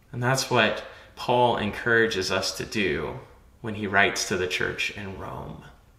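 Speaking at a fairly slow pace, a man with a fairly low pitch has a bright, sharp tone in strong room echo. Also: ordinary pitch variation.

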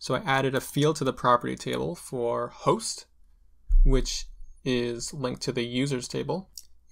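This man's voice has vocal fry. The background is quiet. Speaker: tutorial creator. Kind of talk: tutorial. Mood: playful, light humor.

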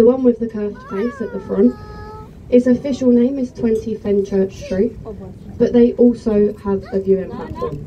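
A woman talks at a moderate pace, her pitch varying in an ordinary way, with light background noise behind her. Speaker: tour guide. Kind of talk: tour commentary. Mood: joking, friendly. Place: boat.

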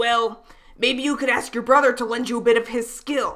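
A put-on character voice, female-sounding and high in pitch, comes at a moderate pace. The intonation stays monotone and flat. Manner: angry, ranting.

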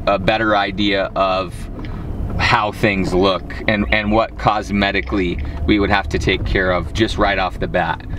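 Music plays behind a man with a fairly low pitch. His dry sound has no echo, and he keeps a moderate pace. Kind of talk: phone conversation explaining a deal. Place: car. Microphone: camera far.

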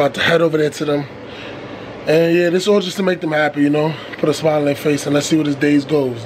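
With light background noise behind him, a man talks at a very fast pace with fairly even intonation. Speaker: vlogger. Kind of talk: casual vlog chat. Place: car. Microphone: phone near.

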